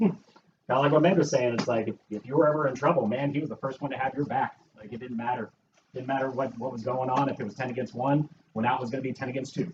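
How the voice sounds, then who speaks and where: At a very fast pace, a man with an American accent talks at a medium pitch with ordinary pitch variation. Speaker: childhood friend of the deceased. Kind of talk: memorial tribute speech. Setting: house gathering with audience. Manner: halting.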